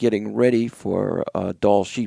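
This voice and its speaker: The recording has a dry, close sound with no echo. The speaker talks at a fairly slow pace in a New England accent. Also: man. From New Hampshire, US. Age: 60s. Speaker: hunter and wool company owner. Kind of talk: casual interview conversation.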